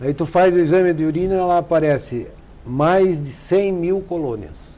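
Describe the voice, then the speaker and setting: A man speaks with a dark, mellow tone and a high pitch. His pitch varies in an ordinary way at a moderate pace. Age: 70s. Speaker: nephrologist. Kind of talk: TV health interview. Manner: halting.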